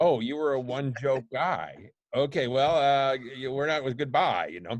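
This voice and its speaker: A man's ordinary speaking voice with an American accent, medium pitch, ordinary pitch variation and a moderate pace, against a quiet background. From Buffalo, New York. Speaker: poet. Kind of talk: podcast interview answer.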